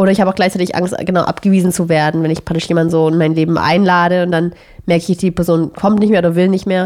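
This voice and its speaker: At a very fast pace, a woman with a fairly low pitch speaks in a monotone, flat way with very even loudness. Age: 30s. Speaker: podcast co-host. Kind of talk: casual chat.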